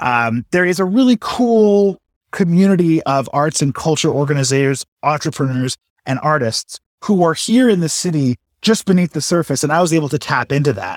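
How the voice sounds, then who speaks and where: A man with a Canadian accent and an unremarkable speaking voice talks at a moderate pace in a fairly high pitch with lively intonation, in a dry, close sound with no echo on a very clean recording with a silent background. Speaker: city council candidate, health economist. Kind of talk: campaign pitch.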